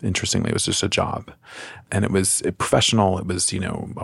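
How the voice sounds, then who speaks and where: Speaking with an American accent, a man sounds somewhat breathy. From US Midwest, Chicago. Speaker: podcast host, career coach. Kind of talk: casual chat. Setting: studio.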